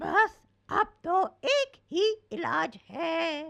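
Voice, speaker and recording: This female-sounding voice is a cartoonish character voice pitched extremely high for a woman. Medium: puppet. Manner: confident, helpful.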